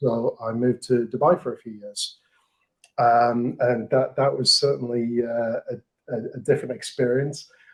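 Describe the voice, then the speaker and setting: In an English accent, a man with a medium pitch speaks at a moderate pace with a monotone, flat intonation. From England. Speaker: marketing manager. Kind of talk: podcast interview.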